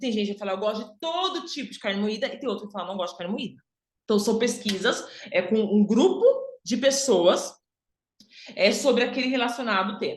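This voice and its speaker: A woman with a fairly high, somewhat breathy voice speaks at a fairly quick pace with long, frequent pauses, lively intonation and big swings in loudness, with audible room echo. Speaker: image and style consultant. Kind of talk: online workshop lecture.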